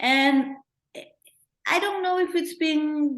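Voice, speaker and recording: At a very slow pace, a woman talks with a Peruvian accent. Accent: Peruvian Spanish accent, kept. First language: Spanish. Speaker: documentary filmmaker. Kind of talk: interview Q&A.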